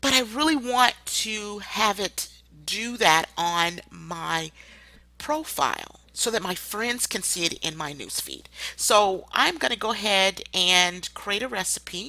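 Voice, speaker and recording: Loud and bright, with a sharp tone, a woman speaks very slowly at a medium pitch with lively intonation. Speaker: online marketer giving tutorials. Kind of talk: screen-share tutorial.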